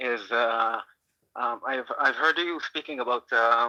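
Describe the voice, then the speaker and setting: A man with a non-native accent speaks very slowly at a medium pitch, his bright, sharp tone fairly even in intonation and recorded dry and close with no echo. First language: not English. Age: 30s. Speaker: caller. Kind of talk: call-in discussion. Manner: halting, many fillers.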